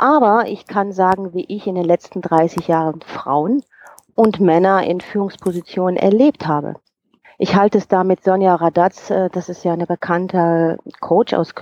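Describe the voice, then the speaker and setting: A woman speaks at medium pitch with a dark, mellow tone and ordinary pitch variation. Her fairly slow delivery has a dry, close sound with no echo. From Rhineland, Germany. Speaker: HR coach and personnel manager. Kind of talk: interview.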